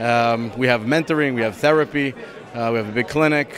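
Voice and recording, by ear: A man speaks with ordinary pitch variation over faint background noise and faint crowd noise in the background. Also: fairly bright tone.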